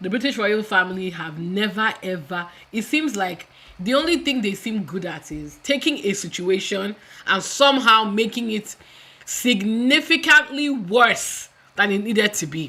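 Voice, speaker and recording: An animated woman's voice, fairly high in pitch, with very wide pitch swings at a moderate pace. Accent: Nigerian. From Nigeria. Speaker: YouTube commentator. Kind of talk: live stream commentary. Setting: home live stream on camera.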